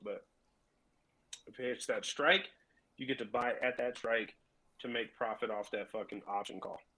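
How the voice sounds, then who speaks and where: A raspy, put-on character voice from a man, medium pitch, moderate pace, with long, frequent pauses. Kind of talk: casual, profane. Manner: explaining.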